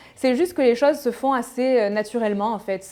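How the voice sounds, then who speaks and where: The speech moves at a moderate pace with ordinary pitch variation. Music plays in the background. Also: woman. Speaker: fashion YouTuber. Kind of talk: casual Q&A vlog. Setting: home video, natural light. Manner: hesitant fillers.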